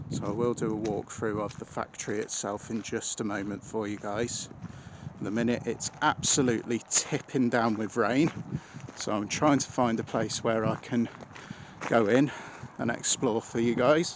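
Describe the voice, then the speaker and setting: A man at a moderate pace, with fairly even intonation, amid noticeable background noise. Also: dry sound with no echo. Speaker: urban explorer vlogger. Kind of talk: casual vlog commentary. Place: factory. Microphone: phone near.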